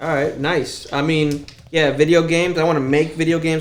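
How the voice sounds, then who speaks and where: In a room with audible echo, a man speaks at a moderate pace. His fairly high voice has monotone, flat intonation. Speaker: artist and songwriter. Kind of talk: casual chat. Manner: monotone, deadpan.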